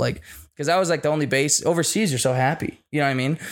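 Ordinary pitch variation in a man's speech. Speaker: podcast host. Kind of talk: casual chat. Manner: profane, casual.

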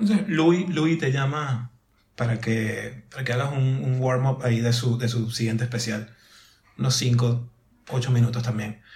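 Fairly slow and somewhat breathy, a man speaks at a medium pitch with ordinary pitch variation. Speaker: podcast host. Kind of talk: casual chat.

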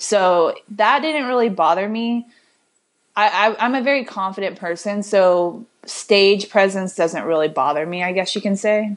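This woman has a plain, everyday voice with an American accent, pitched in the middle for a woman. She speaks at a fairly slow pace with ordinary pitch variation. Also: quiet background. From Illinois. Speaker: fitness coach. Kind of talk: casual chat.

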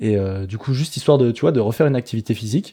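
The man's voice sits fairly low and has a dark, mellow tone. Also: quiet background. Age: 30s. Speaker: street workout athlete and content creator. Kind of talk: casual chat. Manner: halting.

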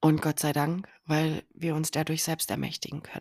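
A woman speaks at a moderate pace with a fairly low pitch. The recording is very clean, with a silent background and a dry, close sound with no echo. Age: 30s. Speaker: podcast host, abuse survivor advocate. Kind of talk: personal monologue. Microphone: new better microphone.

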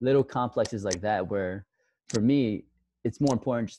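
Speaking with an American accent, a man has a dark, mellow tone. His pace is fairly quick. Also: dry, close sound with no echo. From Queens, New York. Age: 20s. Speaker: physical therapist. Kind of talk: casual interview.

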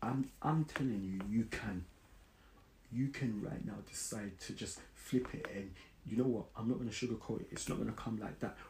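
In a London accent, a man speaks at a moderate pace with a medium-pitched, somewhat breathy voice and ordinary pitch variation. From South London. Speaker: podcast host. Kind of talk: casual solo podcast monologue.

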